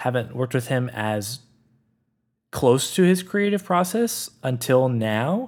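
A man speaks at a medium pitch with lively intonation, recorded very cleanly against a silent background. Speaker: podcast editor and producer. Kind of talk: casual chat.

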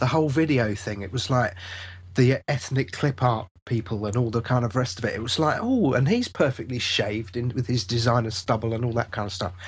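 A somewhat breathy man at medium pitch, fairly quick pace, quiet background. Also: ordinary pitch variation. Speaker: software developer. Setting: video call.

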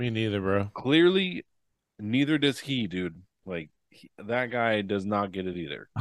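Lively intonation at a fairly slow pace. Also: man, fairly low pitch for a man. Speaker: podcast co-host. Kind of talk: casual chat. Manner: animated.

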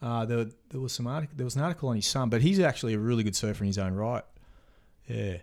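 Here a man talks at a very fast pace with an Australian accent. His pitch sits in the medium range. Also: ordinary pitch variation. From Australia, Queensland. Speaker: big wave surfer. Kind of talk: casual chat. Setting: host's home.

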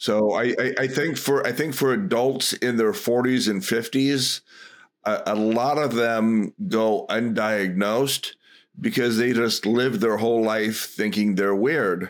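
A man with a plain, everyday voice speaks at medium pitch and a fairly slow pace with ordinary pitch variation and very even loudness, on a very clean recording with a silent background. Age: 50s. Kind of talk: casual interview.

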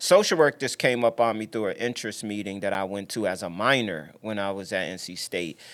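In an unremarkable speaking voice, a man with an American accent talks at a fairly quick pace, fairly low in pitch with ordinary pitch variation and big swings in loudness, in a very clean recording with a silent background. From upstate New York, later Virginia. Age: 40s. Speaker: social worker and cancer fundraiser. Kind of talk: casual interview.

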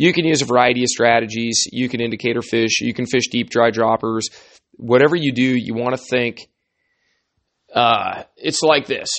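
A man speaks at a moderate pace in an ordinary speaking voice, with a medium pitch and fairly even intonation. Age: 40s. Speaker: fly fishing guide and podcast host. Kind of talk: solo podcast talk. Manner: casual.

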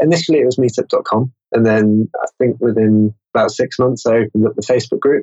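Very fast, with hardly any pauses, very even loudness, fairly even intonation, and an English accent. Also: man, medium pitch for a man. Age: 20s. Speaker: marketer and meetup organizer. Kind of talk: interview.

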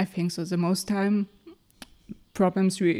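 With a German accent, the speaker uses a dark, mellow tone and monotone, flat intonation at a moderate pace. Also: woman. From Mecklenburg-Vorpommern, Germany. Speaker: engineer. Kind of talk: interview. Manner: halting.

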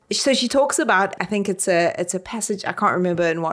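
A woman with a South African accent, at a medium pitch. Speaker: literary scholar, podcast co-host. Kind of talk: casual discussion.

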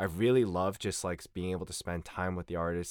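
A man with an American accent and a very deep, low pitch speaks at a fairly quick pace on a very clean recording with a silent background. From United States. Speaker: singer. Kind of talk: casual chat.

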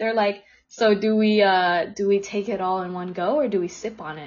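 A woman speaks in a somewhat breathy voice. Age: 20s. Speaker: podcast host. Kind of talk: casual chat. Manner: animated.

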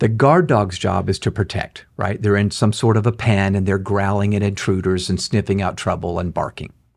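Somewhat breathy, this man has a fairly low pitch. He speaks at a moderate pace. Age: 60s. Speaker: author and leadership speaker. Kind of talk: interview.

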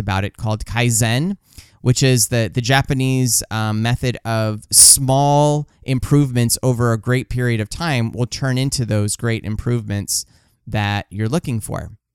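The recording is very clean, dry and close, with no echo and a silent background. A man speaks at a medium pitch and a moderate pace. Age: 40s. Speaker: book review podcaster. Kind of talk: casual monologue. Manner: halting.

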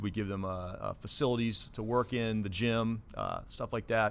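A man with an American accent speaks at medium pitch with fairly even intonation. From Ohio, US Midwest (Dayton). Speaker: naval base commanding officer. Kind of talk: interview. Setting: studio.

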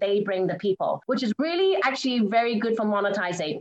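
A woman's fairly high voice with ordinary pitch movement, music playing behind her. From England. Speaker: keynote speaker. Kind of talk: interview.

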